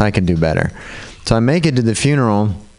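Here a man is speaking. Noticeable background noise is present. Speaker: comedian. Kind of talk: stand-up. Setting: stage with audience.

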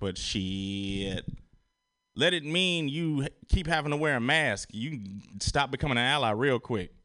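A man with an ordinary speaking voice talks at a fairly slow pace with lively intonation. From Chicago. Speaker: comedian. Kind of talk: stand-up.

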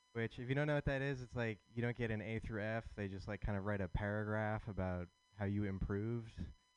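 A man speaks at medium pitch with ordinary pitch variation. It is a plain, everyday voice. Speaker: comedian. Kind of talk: stand-up.

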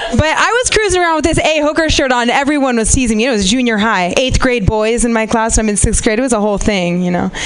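Over noticeable background noise, a woman talks at a very fast pace in a high pitch, her tone animated, her intonation lively and her loudness very even. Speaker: comedian. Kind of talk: stand-up. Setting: stage with audience.

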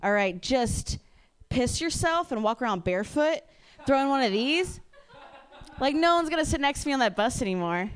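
The speaker has an American accent and very even loudness. The pitch swings very widely, with long, frequent pauses. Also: woman, high pitch for a woman, fairly quick pace. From Ohio. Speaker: comedian. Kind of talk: stand-up.

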